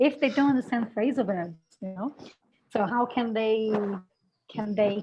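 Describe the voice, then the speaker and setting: A woman's somewhat breathy, fairly high voice with a Brazilian accent, moderate pace and ordinary pitch variation. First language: Portuguese. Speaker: English language teaching educator. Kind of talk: webinar talk.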